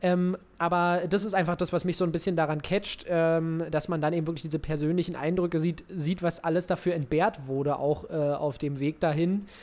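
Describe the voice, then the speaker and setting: A man's high-pitched voice at a moderate pace, with hardly any pauses. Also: fairly even intonation. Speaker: football podcast co-host. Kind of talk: casual chat.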